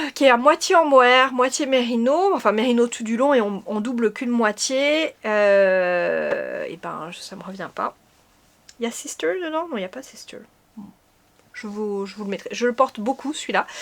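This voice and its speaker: A woman speaks at a moderate pace in a high voice, her intonation lively and her loudness swinging widely. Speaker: knitting podcaster. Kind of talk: casual chat. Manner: hesitant, many fillers.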